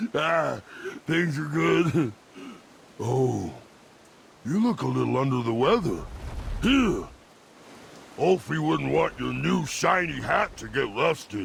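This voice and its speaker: Putting on a character voice, a man speaks at a medium pitch. He goes at a fairly slow pace with long, frequent pauses. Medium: video game. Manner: enthusiastic, affectionate.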